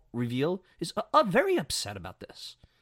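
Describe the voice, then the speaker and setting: Speaking with a New York accent in an animated tone, a man with a high pitch comes through a very clean recording with a silent background and a dry, close sound with no echo. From New York City (Brooklyn). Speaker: sports podcast host. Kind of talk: opinion commentary podcast.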